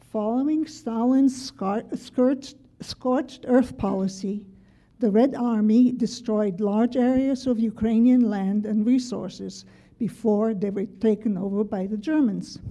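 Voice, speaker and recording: Speaking at a fairly slow pace, a woman has a fairly high, somewhat breathy voice. Her tone is dark and mellow, with ordinary pitch variation. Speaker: memoir writer. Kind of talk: reading aloud. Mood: calm, measured, serious. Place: classroom. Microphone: podium.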